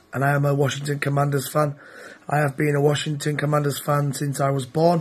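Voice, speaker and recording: A man with a British accent speaks at a fairly quick pace in a fairly high pitch. His intonation is monotone and flat, and his voice is somewhat breathy. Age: 30s. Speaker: NFL fan. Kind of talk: self-recorded fan testimony.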